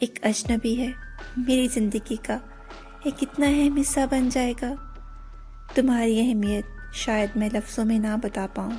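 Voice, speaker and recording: A woman with a high pitch and fairly even intonation, music in the background. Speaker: channel owner narrating her own voiceover. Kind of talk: romantic poetry reading, love letter to husband. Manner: soft, heartfelt.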